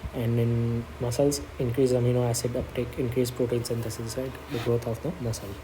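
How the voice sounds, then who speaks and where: A man talks at a fairly quick pace with a medium pitch and fairly even intonation. Audible room echo and noticeable background noise can be heard. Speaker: medical exam study tutor. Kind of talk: tutorial. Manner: fast.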